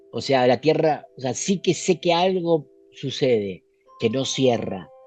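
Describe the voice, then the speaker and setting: Music plays in the background as a man speaks at a fairly slow pace. His fairly high voice has lively intonation. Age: 60s. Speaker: author and esoteric researcher. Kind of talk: interview.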